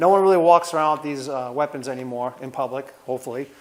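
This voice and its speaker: Talking at a very fast pace, a man with a Rhode Island accent has a fairly high pitch that varies in an ordinary way. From US Northeast, Rhode Island. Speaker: martial arts instructor. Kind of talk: tutorial. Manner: casual.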